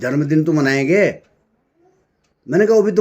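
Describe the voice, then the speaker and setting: A man talks with ordinary pitch variation. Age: 60s. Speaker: spiritual speaker. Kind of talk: spiritual talk.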